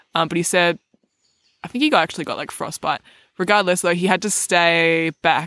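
A woman speaks at a moderate pace with fairly low pitch and fairly even intonation. The sound is dry and close, with no echo. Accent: Australian. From Australia, Melbourne. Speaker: recurring podcast guest, host's partner. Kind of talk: casual chat. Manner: soft-spoken.

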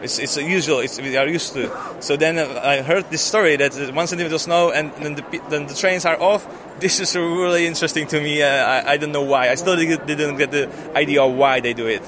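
Someone with a Czech accent speaks at a fairly quick pace with fairly even intonation over noticeable background noise. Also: man, fairly high pitch for a man. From Czech Republic. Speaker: expat interviewee. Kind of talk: street interview.

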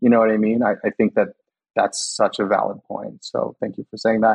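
Speaking at a moderate pace with a Californian accent, a man leaves long, frequent pauses. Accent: Californian American. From US West Coast, California Central Valley (Los Banos). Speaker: public health insurance worker. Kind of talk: casual interview.

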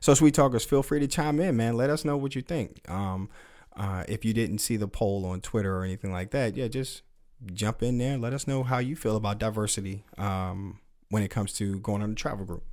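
This is a normal speaking voice with ordinary pitch variation, moving at a fairly quick pace. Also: man, fairly low pitch for a man. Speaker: podcast host. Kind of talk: casual chat.

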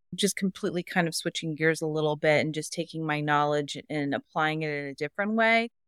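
A woman's very deep, low voice at a fairly quick pace with hardly any pauses, ordinary pitch variation, and a dry, close sound with no echo on a very clean recording with a silent background. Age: 40s. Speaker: teacher and instructional coach. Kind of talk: coaching session conversation.

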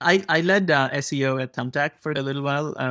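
A man's voice, dry and close with no echo. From India. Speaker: podcast co-host. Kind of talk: interview.

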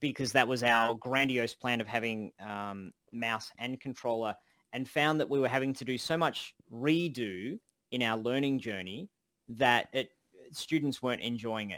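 A man with an Australian accent speaks at a moderate pace in a medium-pitched, bright, sharp voice. His pitch varies in an ordinary way, and the sound is dry and close with no echo. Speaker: game development course instructor and podcast co-host. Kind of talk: casual chat, live Q&A. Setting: online voice call. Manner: animated.

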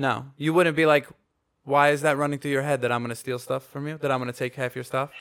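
Talking very fast, a man with an American accent has a fairly high pitch. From Long Island, New York. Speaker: podcast co-host, musician. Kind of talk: casual chat. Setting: home studio. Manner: animated.

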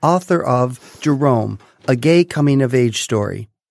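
A plain, everyday voice with lively intonation. The recording is very clean with a silent background, and the sound is dry and close with no echo. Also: man. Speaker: podcast host, doctor. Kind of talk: interview, friendly chat.

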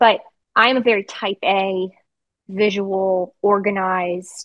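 Her voice sits at a medium pitch. The woman speaks with an American accent. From Virginia. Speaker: 911 dispatcher and training officer. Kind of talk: interview, casual chat.

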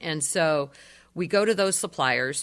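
A woman speaks with a western Pennsylvania accent in a bright, sharp tone, her pitch varying in an ordinary way. The recording is very clean, with a silent background. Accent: western Pennsylvania American. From Erie, Pennsylvania. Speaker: energy advisor. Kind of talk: radio interview. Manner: hesitant with frequent fillers.

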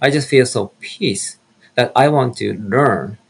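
A man talks at a very slow pace with a Japanese accent. His voice is somewhat breathy, with ordinary pitch variation. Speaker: minister. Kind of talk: testimony.

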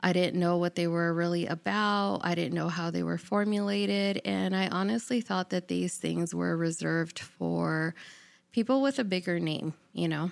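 In a very clean recording with a silent background, a woman with a fairly low pitch and an unremarkable speaking voice talks at a moderate pace, her intonation lively and her loudness very even. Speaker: podcast host. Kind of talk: casual solo intro monologue.

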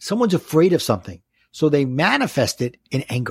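Someone with a Brooklyn accent talks at a moderate pace with very wide pitch swings, the recording very clean with a silent background and a dry, close sound with no echo. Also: man. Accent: Brooklyn New York. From New York City (Brooklyn). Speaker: life coach and author. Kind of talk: casual interview, coaching advice. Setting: podcast audio only.

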